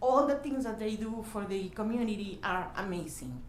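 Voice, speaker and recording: In a strong Mexican accent, a woman talks amid audible room echo. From Mexico, desert region. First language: Spanish. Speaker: youth program volunteer leader. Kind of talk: public hearing comment. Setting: county meeting room. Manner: halting.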